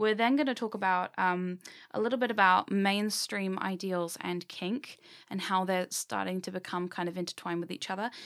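Speaking with a British accent at a moderate pace, a woman shows ordinary pitch variation on a very clean recording with a silent background. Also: medium pitch for a woman. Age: 20s. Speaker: podcast host. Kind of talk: casual chat.

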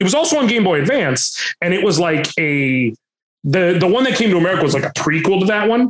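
A man speaks in a normal speaking voice, with lively intonation and a moderate pace. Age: 30s. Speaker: Twitch streamer and voice actor. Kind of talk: casual interview chat.

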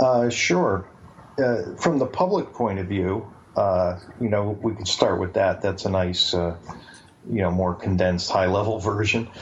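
A man with a southern New England accent, fairly low in pitch, with ordinary pitch variation and a fairly slow pace. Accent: southern New England American. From Bridgeport, Connecticut. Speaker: author. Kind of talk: interview.

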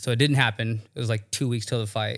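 This man has an ordinary speaking voice with a medium pitch and fairly even intonation. He talks at a fairly quick pace on a very clean recording with a silent background. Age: 30s. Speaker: MMA fighter. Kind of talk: casual chat.

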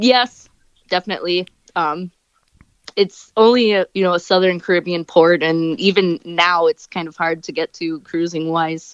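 A woman with an American accent and a normal speaking voice talks at a moderate pace in a fairly low pitch, her intonation fairly even. Her loudness swings widely, and the sound is dry and close with no echo over a quiet background. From US Midwest, Wisconsin. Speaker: scuba diver and cruise enthusiast. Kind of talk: casual interview.

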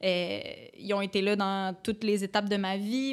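With a Quebec accent, a woman speaks at a fairly high pitch in a monotone, flat intonation. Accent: Québécois French. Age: 20s. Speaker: podcast guest. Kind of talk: casual chat.

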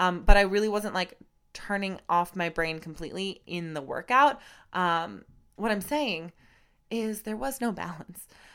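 A woman's animated, medium-pitched voice at a fairly slow pace, with lively intonation and big swings in loudness, on a very clean recording with a silent background. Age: 20s. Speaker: podcast host and Pilates studio owner. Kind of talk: casual solo monologue. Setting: alone in a room recording.

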